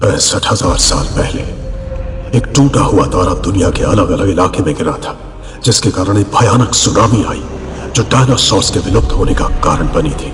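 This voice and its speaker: A man puts on a character voice, fairly low in pitch, at a moderate pace. Loud background noise and a slight echo surround him. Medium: fan dub. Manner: smooth, measured.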